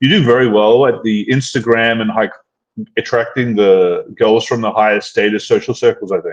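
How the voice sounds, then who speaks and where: This is an unremarkable speaking voice with fairly even intonation and a moderate pace. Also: man, medium pitch for a man. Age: 30s. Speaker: dating coach and channel host. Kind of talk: casual chat. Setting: live stream.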